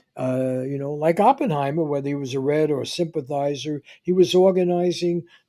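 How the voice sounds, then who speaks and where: With a New York accent, this man talks at a moderate pace in a dark, mellow tone and a fairly high pitch. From New York City (the Bronx). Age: 80s+. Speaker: podcast host, journalist. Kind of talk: interview conversation. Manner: halting, many fillers and restarts.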